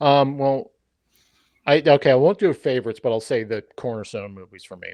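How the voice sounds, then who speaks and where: A man's medium-pitched normal speaking voice, fairly quick, with lively intonation and big swings in loudness. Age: 40s. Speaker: podcaster. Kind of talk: casual chat.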